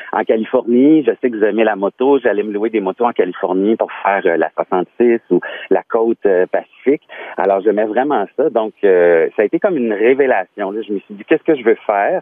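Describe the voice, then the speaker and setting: This man speaks at a medium pitch with ordinary pitch variation. His pace is moderate. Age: 40s. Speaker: former radio host turned truck driver. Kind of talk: radio interview. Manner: halting, with repetitions.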